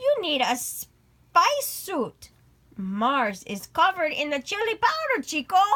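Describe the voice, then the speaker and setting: A woman puts on a character voice pitched extremely high, with very wide pitch swings. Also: fairly slow pace. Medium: read story.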